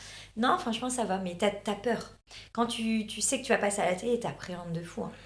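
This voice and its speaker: A woman with a somewhat breathy, fairly high voice speaks at a moderate pace, her pitch varying in an ordinary way. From northern France. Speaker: reality TV contestant and influencer. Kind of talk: casual interview chat. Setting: studio. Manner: hesitant, many fillers.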